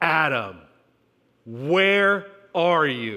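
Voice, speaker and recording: A man's booming, put-on character voice at a fairly high pitch. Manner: authoritative, solemn.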